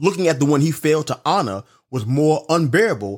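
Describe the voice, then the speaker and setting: A man speaks in an animated tone with a New York accent. The recording is very clean with a silent background. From Brooklyn, New York City. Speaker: podcast host and life coach. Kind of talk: motivational monologue.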